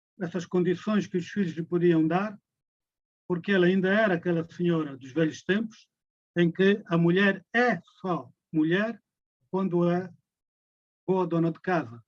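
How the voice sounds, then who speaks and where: With fairly even intonation, a man speaks in a high pitch at a fairly slow pace. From Angola, Luanda. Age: 80s+. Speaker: musician and veteran nationalist. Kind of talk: lecture.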